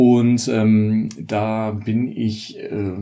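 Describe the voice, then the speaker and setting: This dark, mellow voice rings with audible room echo. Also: man. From northern Germany, Mecklenburg. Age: 30s. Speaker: journalist and author. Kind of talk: casual chat.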